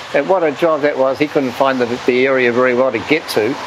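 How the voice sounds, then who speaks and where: Someone speaks at a fairly quick pace with a New Zealand accent. There is noticeable background noise. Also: man. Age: 70s. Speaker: blind voter. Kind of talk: interview testimony.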